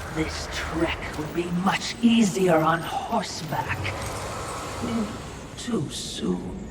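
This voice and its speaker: Cartoonish character voice at a middle pitch, very slow in pace, over loud background noise. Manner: polite, dry.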